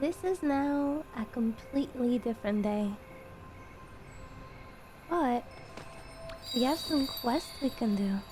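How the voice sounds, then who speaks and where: The speaker is soft-spoken, very slow, and leaves long, frequent pauses, with ordinary pitch variation and very even loudness. Music plays in the background. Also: woman, high pitch for a woman. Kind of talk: calm gaming commentary.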